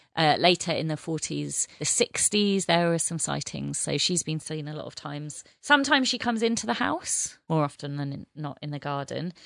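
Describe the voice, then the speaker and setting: A woman speaks at a moderate pace in an unremarkable speaking voice with a fairly low pitch. The background is quiet. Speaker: podcast host. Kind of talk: casual chat.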